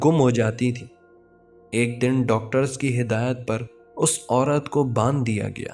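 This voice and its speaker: The voice keeps a fairly even intonation, with music in the background. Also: man. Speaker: horror story narrator. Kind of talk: horror story narration.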